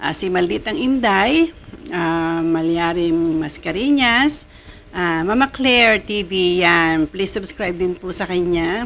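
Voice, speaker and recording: A woman's medium-pitched voice at a very slow pace, with lively intonation. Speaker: vlogger reacting to showbiz news. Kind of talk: casual vlog chat. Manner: halting, many fillers.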